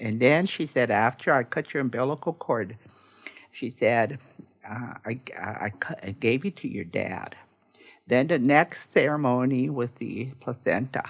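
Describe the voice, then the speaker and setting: Her very deep, low pitch comes with ordinary pitch variation as this woman talks at a fairly slow pace. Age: old. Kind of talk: interview storytelling. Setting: studio. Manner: warm, humorous.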